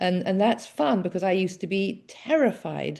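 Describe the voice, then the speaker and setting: With an English accent, a woman speaks at a medium pitch in a dark, mellow tone against a quiet background. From England. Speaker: author and former addiction counselor. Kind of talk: interview conversation. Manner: hesitant, many fillers.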